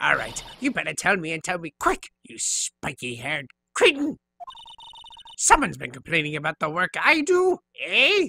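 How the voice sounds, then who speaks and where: The speaker uses a put-on character voice that sounds strained and raspy. Loudness swings widely, and long pauses come often. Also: man, moderate pace, dry, close sound with no echo. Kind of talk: comic overacting, video game voice-over. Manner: cantankerous, scolding.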